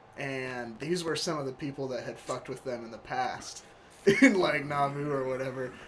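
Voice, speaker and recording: A man with a fairly high pitch and fairly even intonation speaks at a moderate pace in an ordinary speaking voice, with big swings in loudness. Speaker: podcast host. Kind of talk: casual chat.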